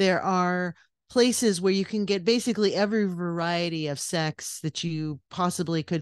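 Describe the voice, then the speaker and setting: With an American accent, a woman uses a normal speaking voice, fairly low in pitch, with ordinary pitch variation at a moderate pace over a quiet background. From California, US. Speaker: podcast co-host, guest. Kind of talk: casual interview chat.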